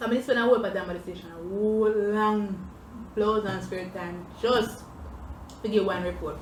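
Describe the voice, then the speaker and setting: A woman with a Jamaican accent and fairly even intonation, over noticeable background noise. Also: medium pitch for a woman, moderate pace. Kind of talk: casual storytime talk to camera while eating.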